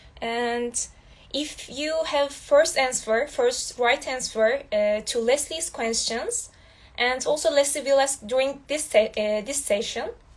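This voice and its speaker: A woman with a Turkish accent, very slow and high-pitched, with ordinary pitch variation. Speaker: student host. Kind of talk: online interview. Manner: halting.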